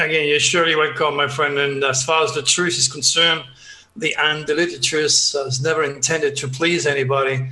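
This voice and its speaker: A man's fairly high-pitched voice with a strong French accent, fairly even intonation and a moderate pace, amid noticeable background noise and audible room echo. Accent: heavy French. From southern France, Provence. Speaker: astrologer and psychic. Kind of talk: interview. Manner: hesitant, many uhs.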